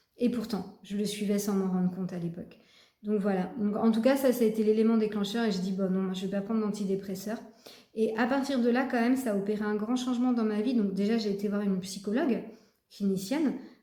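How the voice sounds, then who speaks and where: Fairly quick speech from a woman with a fairly high pitch and fairly even intonation, with audible room echo. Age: 40s. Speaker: personal development vlogger. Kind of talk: personal testimony. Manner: halting, many fillers and repetitions.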